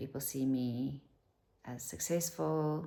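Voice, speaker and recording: A woman's very deep, low voice, showing ordinary pitch variation, comes with a South African accent. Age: 50s. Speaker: vlogger. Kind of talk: casual chat.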